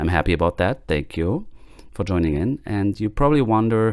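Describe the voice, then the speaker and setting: Here a man speaks with a German accent at a moderate pace. The recording is very clean, with a silent background. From Germany. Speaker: podcast host. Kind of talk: podcast monologue. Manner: hesitant, many fillers.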